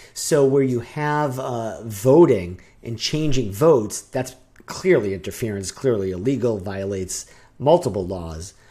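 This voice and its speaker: A man with a dark, mellow tone and medium pitch speaks at a fairly slow pace. His intonation is lively, and the recording is very clean with a silent background. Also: big swings in loudness. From New Hampshire. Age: 40s. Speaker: podcast co-host. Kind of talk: casual chat.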